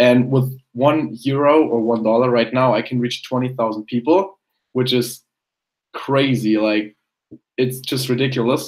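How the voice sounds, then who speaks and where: A medium-pitched man with a German accent, fairly slow and fairly even in intonation, with long, frequent pauses. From Germany. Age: young. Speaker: personal branding consultant and photographer. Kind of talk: casual interview.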